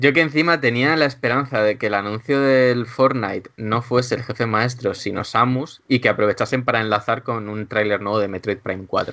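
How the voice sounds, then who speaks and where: The speech runs at a moderate pace with hardly any pauses. Pitch varies in an ordinary way. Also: man, medium pitch for a man. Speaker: video game journalist. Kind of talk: casual chat.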